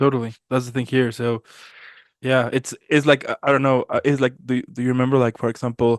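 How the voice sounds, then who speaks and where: A man's medium-pitched voice with a Spanish accent, fairly quick and with monotone, flat intonation, recorded with a dry, close sound with no echo against a quiet background. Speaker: podcast host. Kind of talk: casual chat. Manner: halting, many fillers.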